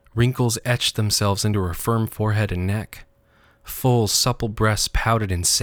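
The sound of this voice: Just an unforced reading voice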